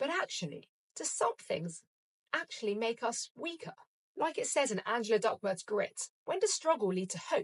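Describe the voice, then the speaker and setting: A woman's high voice with a British accent, very wide pitch swings and a moderate pace, in a dry, close sound with no echo. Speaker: podcast host; breast cancer survivor. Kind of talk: reflective solo podcast monologue. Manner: upbeat, motivational.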